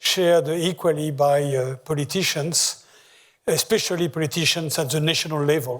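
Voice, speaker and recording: A man with a strong French accent and a fairly high, somewhat breathy voice, at a moderate pace with fairly even intonation. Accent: heavy French. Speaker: economist. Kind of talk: lecture. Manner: hesitant, many filler sounds.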